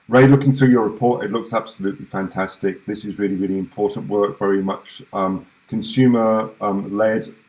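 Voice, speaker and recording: A man with a British accent and a fairly low pitch, at a fairly quick pace, with fairly even intonation and hardly any pauses. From UK. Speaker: webinar host. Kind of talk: online event introduction. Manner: hesitant, many fillers.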